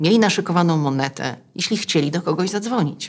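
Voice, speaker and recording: With very wide pitch swings, a woman speaks at a moderate pace and a fairly low pitch. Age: 40s. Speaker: podcast host. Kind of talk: scripted narration; interview. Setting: in person.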